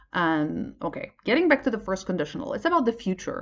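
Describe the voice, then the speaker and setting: A woman speaks with a Polish accent. Her pitch swings very widely. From Poland. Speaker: English teacher. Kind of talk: tutorial. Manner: halting, many fillers.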